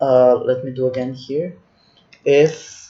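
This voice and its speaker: A man with a non-native accent. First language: not English. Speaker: spreadsheet tutorial instructor. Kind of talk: tutorial. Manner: halting, with many restarts.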